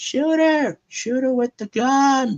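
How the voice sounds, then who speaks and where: A high-pitched, put-on character voice is shouting. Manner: put-on character voice, shouting a command.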